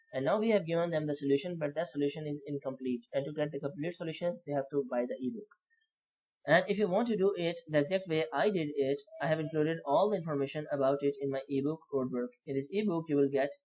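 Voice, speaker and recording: Someone with a non-native accent speaks at a very fast pace. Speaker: copywriting learner sharing lessons. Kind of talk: tutorial. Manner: halting, many fillers and restarts.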